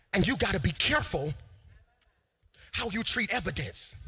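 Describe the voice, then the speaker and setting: Bright and sharp in tone, the voice carries an energetic delivery with vocal fry at a moderate pace. Its pitch swings very widely. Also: man. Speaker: preacher / pastor. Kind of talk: sermon delivered to a live congregation. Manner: energetic, emphatic, call-and-response preaching style.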